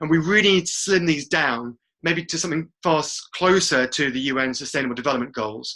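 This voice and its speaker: A man with an English accent and a bright, sharp tone, with ordinary pitch variation. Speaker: webinar presenter. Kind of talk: webinar presentation. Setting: online webinar call. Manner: fast.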